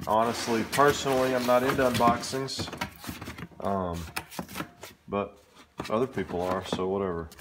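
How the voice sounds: Speaking at a moderate pace with long, frequent pauses, a man uses a medium pitch, a fairly bright tone and ordinary pitch variation amid audible room echo.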